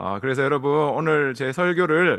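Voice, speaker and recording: A man's bright, sharp tone at a fairly high pitch and moderate pace, on a very clean recording with a silent background. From South Korea. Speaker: guest pastor. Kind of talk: sermon. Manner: halting, many fillers.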